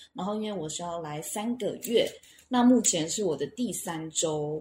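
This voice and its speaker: Pitch swings very widely as a woman speaks at a fairly slow pace. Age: 30s. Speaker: language school student. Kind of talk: casual interview. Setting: on-site at school in Cebu.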